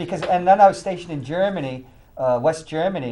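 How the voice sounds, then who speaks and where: A man talks at a very fast pace with lively intonation. Audible room echo surrounds his voice. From New Hampshire, Manchester. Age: 60s. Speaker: talk show host. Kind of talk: casual chat.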